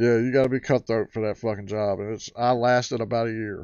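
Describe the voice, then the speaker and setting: A man speaks at a moderate pace. He has a rural American accent. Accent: rural American twang. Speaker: livestream host. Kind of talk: casual livestream chat. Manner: animated.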